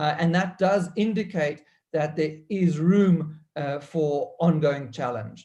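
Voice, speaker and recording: Very slow in pace, this man speaks at a fairly high pitch. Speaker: economist. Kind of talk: panel talk. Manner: halting.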